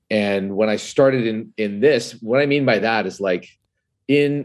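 A man speaks with ordinary pitch variation. Little sound is heard behind him. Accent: Canadian. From Canada. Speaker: whiskey writer and influencer. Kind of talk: casual chat. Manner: animated.

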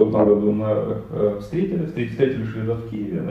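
Noticeable background noise surrounds the speaker. He is a man with a fairly low voice. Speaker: IT company co-founder. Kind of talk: podcast interview.

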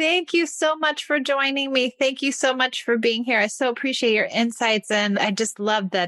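A woman's unremarkable speaking voice with lively intonation at a moderate pace, dry and close with no echo, over a quiet background. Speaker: podcast host. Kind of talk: interview, friendly chat.

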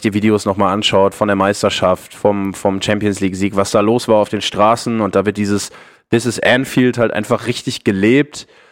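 On a very clean recording with a silent background, a man speaks in a monotone, flat intonation. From Ruhr area, Germany. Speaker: football podcaster. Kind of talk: casual chat.

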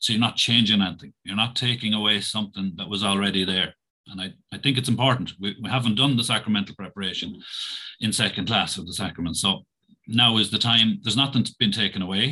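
Over a quiet background, a man with a Tipperary accent talks at a very fast pace in a fairly low pitch, with a bright, sharp tone and fairly even intonation. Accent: Irish (Tipperary). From Ireland, County Tipperary. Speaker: primary school principal. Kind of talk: interview.

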